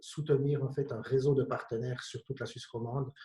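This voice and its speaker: In a slight Jura Swiss accent, a man speaks at medium pitch with a dark, mellow tone, somewhat breathy and with monotone, flat intonation. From Switzerland, Bienne (canton of Bern). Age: 50s. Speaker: company director. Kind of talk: panel discussion.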